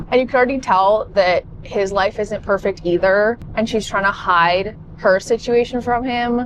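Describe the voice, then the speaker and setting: A woman's fairly high, animated voice in a Canadian accent, with hardly any pauses and noticeable background noise. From Canada. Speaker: book vlogger. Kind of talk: casual vlog chat. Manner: fast.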